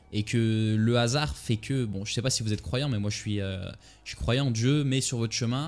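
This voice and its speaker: A man at medium pitch and a fairly quick pace, with music in the background. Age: 20s. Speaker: trader and entrepreneur vlogger. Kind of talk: casual monologue to camera. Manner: fast; hesitant, many fillers.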